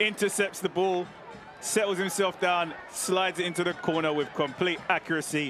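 Over noticeable background noise, a high-pitched man talks at a moderate pace with very even loudness. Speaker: football color commentator. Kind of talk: live football commentary, analytical replay breakdown. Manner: measured analytical, rising to bursts of excitement; long run-on explanatory sentences.

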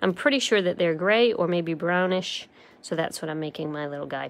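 An ordinary speaking voice: a woman at a medium pitch with an American accent and lively intonation. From US Northeast (Rhode Island). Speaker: stamping craft demonstrator. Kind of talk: live crafting tutorial. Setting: live stream. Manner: casual, chatty with filler words.

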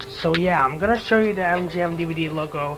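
At a fairly quick pace, the voice has a fairly bright tone and fairly even intonation, with faint background noise. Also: man.

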